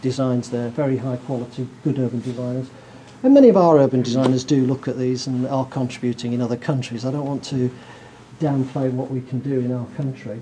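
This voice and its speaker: A man with a northern English accent talks at a fairly quick pace and medium pitch. His intonation is monotone and flat, with noticeable background noise. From northern England. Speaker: professor. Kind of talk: lecture.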